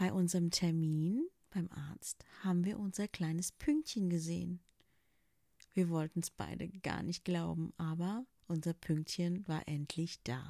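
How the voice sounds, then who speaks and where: Her dark, mellow voice sits fairly low in pitch for a woman, moving at a fairly slow pace with ordinary pitch variation. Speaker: podcaster sharing personal story. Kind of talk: personal testimony monologue.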